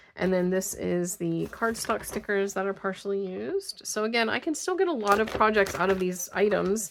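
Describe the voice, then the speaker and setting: A woman speaks at a moderate pace with hardly any pauses, her pitch medium and ordinarily varied. Noticeable background noise runs under her voice. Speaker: craft video creator. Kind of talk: casual haul video talk. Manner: hesitant, many fillers.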